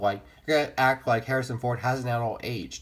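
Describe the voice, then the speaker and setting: Talking at a fairly quick pace, the man sounds somewhat breathy. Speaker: movie vlogger. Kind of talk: casual improvised commentary. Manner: fast; halting, self-correcting.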